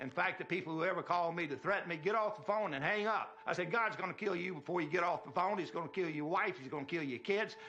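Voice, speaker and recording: With a Mississippi accent, a man speaks very fast with hardly any pauses, at a high pitch with ordinary pitch variation, against noticeable background noise. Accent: Southern US, Mississippi. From US South, Mississippi. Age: 70s. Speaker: inventor. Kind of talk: demonstration talk. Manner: forceful.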